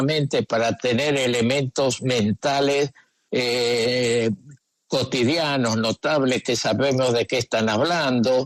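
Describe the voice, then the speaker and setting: This man speaks at a very slow pace. His pitch is medium and his intonation fairly even. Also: dry, close sound with no echo. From Argentina. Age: 80s+. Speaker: psychoanalyst. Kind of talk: radio interview answer.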